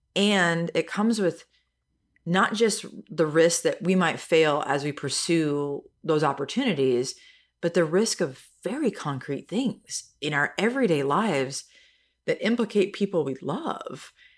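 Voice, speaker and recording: A plain, everyday voice from a woman with an American accent, fairly low pitch, lively intonation and a fairly slow pace on a very clean recording with a silent background. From US Midwest. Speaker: leadership center director and author. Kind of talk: podcast interview.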